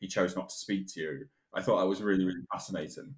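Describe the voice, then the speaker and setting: This man talks at a very fast pace with a British accent. His pitch is fairly low. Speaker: podcast co-host. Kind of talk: casual chat and interview.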